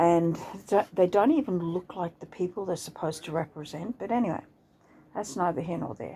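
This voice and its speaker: Speaking with an Australian accent, a woman has a fairly low pitch, a dark, mellow tone, and vocal fry. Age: 60s. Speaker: vlogger. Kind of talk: casual monologue. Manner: halting.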